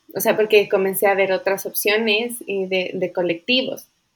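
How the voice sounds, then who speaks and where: A woman's unremarkable speaking voice at medium pitch and a fairly slow pace. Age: 30s. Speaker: birth-rights advocate. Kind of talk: interview.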